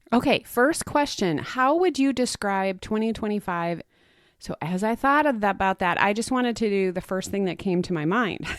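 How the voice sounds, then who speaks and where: An unremarkable speaking voice from a woman at medium pitch, moderate pace and lively intonation, dry and close with no echo, in a very clean recording with a silent background. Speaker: podcast host. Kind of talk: reflective solo podcast monologue.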